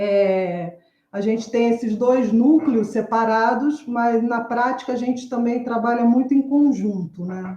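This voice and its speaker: A woman's fairly high-pitched voice with a dark, mellow tone, a fairly slow pace and ordinary pitch variation. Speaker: university theatre professor and researcher. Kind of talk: academic panel presentation. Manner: halting, many filler sounds.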